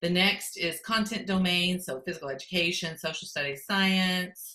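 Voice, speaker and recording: An unremarkable speaking voice from a woman, fairly low in pitch, at a moderate pace. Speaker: education technology consultant. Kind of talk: conference presentation. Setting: virtual conference.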